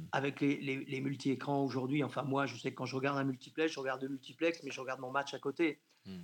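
A man speaks at a very fast pace. His fairly high voice holds a monotone, flat intonation. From Brittany, France (near Rennes). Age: 60s. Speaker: sports journalist and football commentator. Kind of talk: radio interview.

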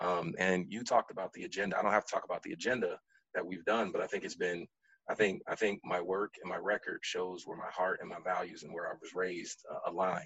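Speaking at a very fast pace with big swings in loudness, a man talks in an American accent. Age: 30s. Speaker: city council member. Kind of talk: radio interview. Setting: radio studio.

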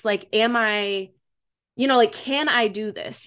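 A woman talks in an American accent with an unremarkable speaking voice and fairly high pitch. Her intonation is fairly even, and the background is quiet. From Michigan, US Midwest. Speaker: school psychologist. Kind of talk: casual chat.

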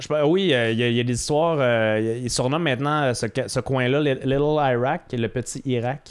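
A man with a medium pitch has an ordinary speaking voice and a fairly even intonation. He talks at a fairly slow pace with hardly any pauses. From Quebec, South Shore of Quebec City. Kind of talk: casual chat.

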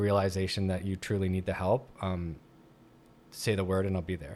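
A man talks at an even, moderate speed, captured in a very clean recording against a silent background. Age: 40s. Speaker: public speaker on addiction and recovery. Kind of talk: interview, personal testimony. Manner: halting, many fillers and restarts.

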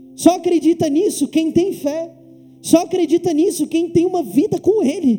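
The man's pitch is extremely high. He keeps a moderate pace and fairly even intonation. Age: 20s. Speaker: pastor. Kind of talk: sermon. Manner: halting, with frequent fillers and repetitions.

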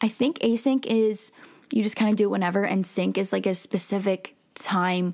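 Recorded very cleanly against a silent background, a woman with a medium pitch speaks at a moderate pace with ordinary pitch variation. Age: 20s. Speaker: podcast host; student. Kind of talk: casual monologue. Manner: rambling, hesitant with fillers.

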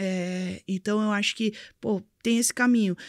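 In a very clean recording with a silent background, a woman speaks at a moderate pace. Her pitch is fairly high and her intonation fairly even. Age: 20s. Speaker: crypto and blockchain entrepreneur. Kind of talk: interview, casual chat. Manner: halting, many fillers.

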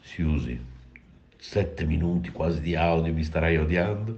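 A man's very deep, low voice, somewhat breathy, at a fairly slow pace. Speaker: radio host. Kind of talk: casual chat. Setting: voice message recorded on phone.

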